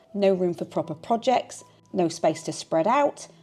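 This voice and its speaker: With music playing in the background, a woman talks at a moderate pace, her pitch swinging very widely. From Yorkshire, England. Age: 40s. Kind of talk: personal vlog narration. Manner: calm, reflective.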